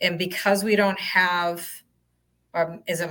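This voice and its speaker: A woman speaks at a fairly slow pace in a bright, sharp tone. Her intonation is monotone and flat. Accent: strong Boston. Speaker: transit agency communications staff. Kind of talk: webinar Q&A.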